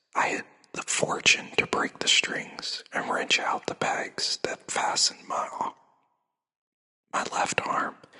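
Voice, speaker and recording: Someone whispers in a soothing tone at a very slow pace. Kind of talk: sleep story reading, classic book read aloud. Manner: soft, whispered, soothing.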